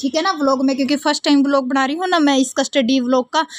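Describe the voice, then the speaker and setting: This woman's high voice stays monotone, its intonation flat. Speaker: vlogger. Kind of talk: casual vlog narration.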